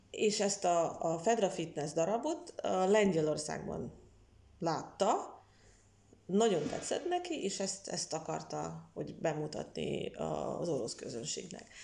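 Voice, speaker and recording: A woman with a Russian accent at a very slow pace. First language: Russian (speaking Hungarian). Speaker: literary historian and translator. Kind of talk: interview. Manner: halting, many fillers.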